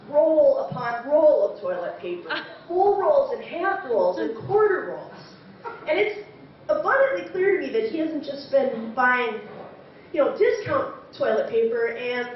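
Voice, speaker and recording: At a fairly slow pace, a woman with an American accent speaks over noticeable background noise. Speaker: storyteller. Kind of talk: live story slam performance.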